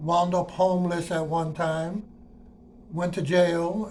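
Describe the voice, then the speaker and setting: A man's high-pitched, monotone, flat delivery with audible room echo. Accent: American. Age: 60s. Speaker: retired transit worker. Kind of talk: personal monologue. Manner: casual, conversational.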